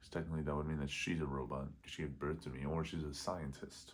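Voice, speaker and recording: A man speaks at a moderate pace with a very deep, low pitch. His intonation is monotone and flat, and audible room echo surrounds the voice. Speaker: vlogger. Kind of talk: casual vlog monologue. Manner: quiet, held back so roommates next door won't hear; rambling, halting, loses train of thought.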